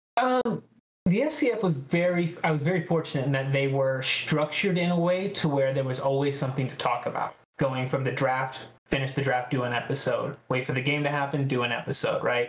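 A man with an American accent and an unremarkable speaking voice, at a fairly quick pace and fairly high pitch, with ordinary pitch variation and very even loudness. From Northern California (Redding). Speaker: podcast guest, sports podcaster. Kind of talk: casual chat. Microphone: unstable internet connection.

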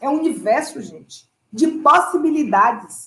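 The pace is fairly slow. A woman talks in a high pitch. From Salvador, Bahia, Brazil. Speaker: dancer and dance teacher. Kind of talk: interview.

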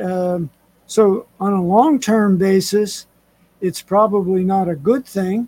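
This man's voice is high-pitched with a dark, mellow tone. He speaks at a very slow pace with ordinary pitch variation. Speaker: military veteran and retired homeowner, host's father. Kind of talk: casual chat. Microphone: too quiet.

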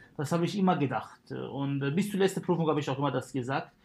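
With an Arabic accent, the speaker uses ordinary pitch variation. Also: man. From Syria. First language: Arabic (speaking German). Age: 30s. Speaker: dentist. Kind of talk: casual chat. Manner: hesitant, many fillers.

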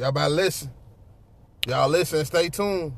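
A man talks at a fairly quick pace with a fairly high pitch and ordinary pitch variation. His voice is somewhat breathy. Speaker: podcast co-host. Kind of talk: casual chat.

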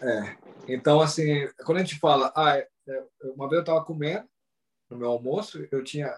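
A man speaks at a fairly high pitch and a moderate pace. His voice is somewhat breathy, with ordinary pitch variation. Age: 40s. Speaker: Brazilian living in Japan, travel content creator. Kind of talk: casual interview. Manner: hesitant, repeats words.

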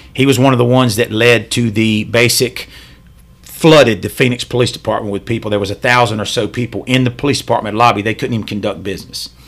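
At a very fast pace, a man with a Southern US accent speaks at medium pitch with fairly even intonation. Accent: US South. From Charlotte, North Carolina. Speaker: police officer. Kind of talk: casual chat.

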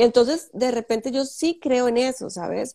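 Dark, mellow tone in a Costa Rican accent, moderate pace, dry, close sound with no echo, and a very clean recording with a silent background. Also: woman. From Costa Rica, Samara in Guanacaste. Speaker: fashion designer. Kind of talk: interview.

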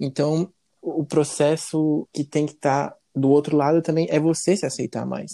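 A man with a dark, mellow tone and a fairly high pitch speaks at a fairly slow pace with fairly even intonation, the sound dry and close with no echo. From Brazil, Santa Catarina. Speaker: podcast guest. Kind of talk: interview.

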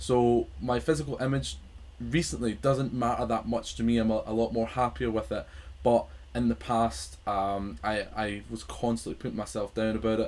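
A man with a Scottish accent talks at a moderate pace. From Scotland. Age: 20s. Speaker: podcast host. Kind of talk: casual chat. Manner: halting.

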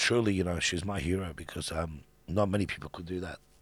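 Over a very clean recording with a silent background, a man speaks at a fairly quick pace with a very deep, low pitch and fairly even intonation. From Iran. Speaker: business founder and philanthropist. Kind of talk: interview conversation. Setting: studio. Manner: hesitant, many fillers.

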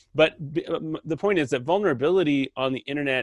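A man in an ordinary speaking voice, with ordinary pitch variation and a dry, close sound with no echo. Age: 40s. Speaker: podcast host. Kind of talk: casual interview conversation. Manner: many fillers and repeated words.

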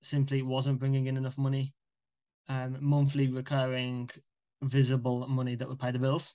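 A man speaks in a monotone with flat intonation, at a medium pitch and with a British accent. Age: 20s. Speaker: young entrepreneur. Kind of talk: casual chat.

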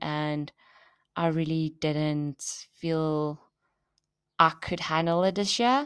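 Very slow speech with ordinary pitch variation, on a very clean recording with a silent background. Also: woman. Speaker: fitness podcaster, bikini bodybuilding competitor. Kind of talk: casual solo podcast monologue. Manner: animated. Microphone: new podcast microphone.

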